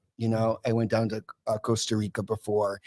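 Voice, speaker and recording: A man speaks with an American accent and a medium pitch. The sound is dry and close, with no echo. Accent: East Coast accent, sometimes noticeable. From US Northeast (Massachusetts). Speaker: guest talking about addiction recovery. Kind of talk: podcast interview, personal recovery story. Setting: live podcast broadcast from a recovery club. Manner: casual, with some swearing and joking asides.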